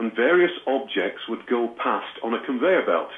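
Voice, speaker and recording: Against noticeable background noise, a man with a British accent speaks with lively intonation. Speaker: trance medium and author. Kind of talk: interview.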